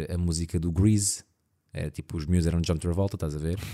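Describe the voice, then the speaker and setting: Over a very clean recording with a silent background, a man speaks in a dark, mellow tone with fairly even intonation. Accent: European Portuguese. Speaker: podcast co-host. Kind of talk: casual chat.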